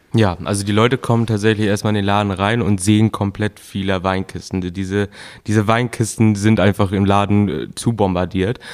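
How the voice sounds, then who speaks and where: A fairly low-pitched man at a moderate pace, monotone and flat, on a very clean recording with a silent background. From northern Germany, Gülzow. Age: 20s. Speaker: shop co-owner. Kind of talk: casual interview.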